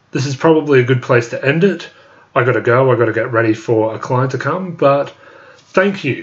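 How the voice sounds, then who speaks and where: Somewhat breathy, a man talks at a moderate pace. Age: 20s. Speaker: YouTuber. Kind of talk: live stream chat reading. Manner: halting.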